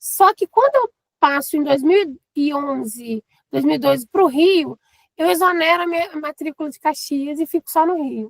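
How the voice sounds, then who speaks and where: A woman with a mineiro accent and a high pitch, in a dry, close sound with no echo. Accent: non-Rio accent, mineiro. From eastern Minas Gerais, Brazil (Governador Valadares). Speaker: teacher and teacher trainer. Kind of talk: casual interview.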